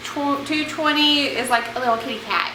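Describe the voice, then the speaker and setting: A woman speaks loudly at a fairly slow pace. Room echo and background noise are both noticeable. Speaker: DIY furniture refinisher. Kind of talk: tutorial. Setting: outdoors. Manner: casual, chatty.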